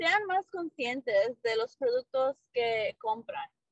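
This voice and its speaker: A woman speaks with ordinary pitch variation. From Mexico, Monclova, Coahuila; moved to US at 7-8. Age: 30s. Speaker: small business owner. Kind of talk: podcast interview.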